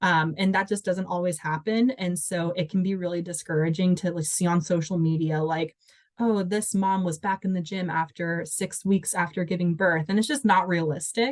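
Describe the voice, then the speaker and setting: Here is an ordinary speaking voice: a woman with an American accent and fairly low pitch. She keeps a moderate pace with fairly even intonation and hardly any pauses. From Washington state. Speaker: dancer and volunteer coordinator. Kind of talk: interview answer.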